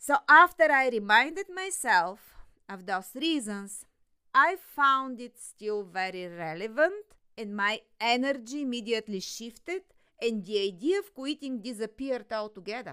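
A woman's fairly high voice moves through very wide pitch swings and big swings in loudness. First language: not English. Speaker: podcast host, business coach. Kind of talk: solo podcast monologue.

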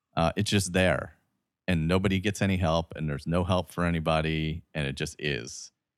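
A man with an American accent and a very deep, low pitch, at a moderate pace with fairly even intonation, in a dry, close recording with no echo and a silent, very clean background. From Delaware County, Pennsylvania. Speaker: podcast host. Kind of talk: casual chat.

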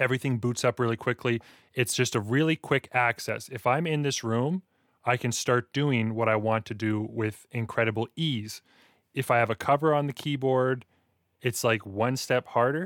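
A man with an ordinary speaking voice and a Canadian accent talks at a moderate pace and medium pitch with ordinary pitch variation, in a very clean recording with a silent background and a dry, close sound with no echo. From Alberta, Canada. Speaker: podcast host and rap artist. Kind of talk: casual interview conversation.

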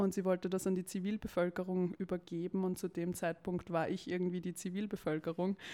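Her tone dark and mellow, a woman at medium pitch talks at a fairly quick pace with hardly any pauses and monotone, flat intonation. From Austria, Vienna. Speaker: climate campaign spokesperson. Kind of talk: interview.

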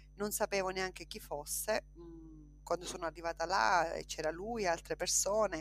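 A woman speaking at a moderate pace. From Sicily, Trapani province. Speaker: politician and justice witness. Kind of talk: interview. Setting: video call.

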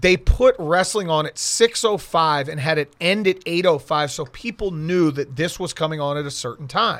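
A man in a plain, everyday voice with an American accent, fairly high in pitch, at a moderate pace with hardly any pauses and ordinary pitch variation, on a very clean recording with a silent background. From South Florida (Miami). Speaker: sports radio reporter. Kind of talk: casual chat. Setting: studio.

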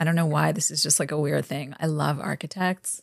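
A woman with a New York accent speaks in a very deep, low pitch with vocal fry and ordinary pitch variation, on a very clean recording with a silent background and a dry, close sound with no echo. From Brooklyn, New York. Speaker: fashion publicist and harm reduction activist. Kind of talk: casual chat.

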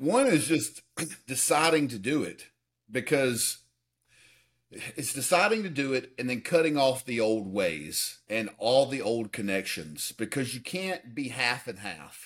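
With vocal fry and very wide pitch swings, a man speaks at a fairly slow pace on a very clean recording with a silent background. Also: medium pitch for a man. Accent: American. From US South, Alabama. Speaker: fitness coach and personal development advisor. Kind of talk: interview.

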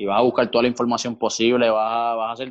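Against a quiet background, a man with a medium pitch speaks at a very fast pace. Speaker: volleyball player and coach. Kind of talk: interview.

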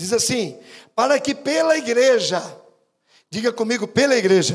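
A man speaks at a moderate pace in an animated tone, his pitch extremely high. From Brazil, São Paulo state interior. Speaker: bishop, preacher. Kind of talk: sermon. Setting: church with congregation.

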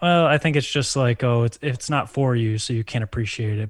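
Speaking at a very fast pace, a man with a medium-pitched, somewhat breathy voice uses ordinary pitch variation in a very clean recording with a silent background. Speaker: podcast co-host. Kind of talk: casual chat.

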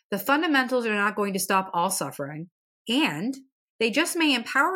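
A woman talks in a central Pennsylvania accent with very wide pitch swings. The recording is very clean, with a silent background. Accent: central Pennsylvania American. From central Pennsylvania, US. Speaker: podcast host and mental health therapist. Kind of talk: scripted-style educational podcast talk. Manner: earnest, encouraging.

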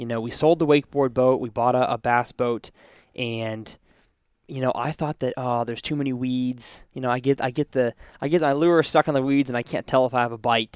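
A man's plain, everyday voice at medium pitch, fairly quick pace and fairly even intonation, with a dry, close sound with no echo and a very clean recording with a silent background. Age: 20s. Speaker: podcast host. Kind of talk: casual interview. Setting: company headquarters studio.

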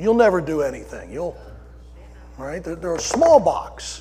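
Here a man with an American accent speaks at a fairly slow pace. Noticeable background noise runs underneath. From Delaware County, Pennsylvania (Philadelphia area). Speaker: pastor. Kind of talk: sermon.

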